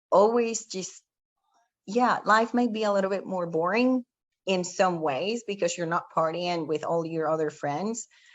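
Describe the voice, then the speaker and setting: A woman with a Spanish accent speaks at a fairly slow pace, her medium pitch showing ordinary variation. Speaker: panel speaker. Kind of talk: motivational talk.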